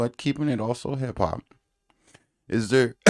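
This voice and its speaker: A man talks at a moderate pace in a dark, mellow tone. The sound is dry and close, with no echo. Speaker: podcast host. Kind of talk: casual interview.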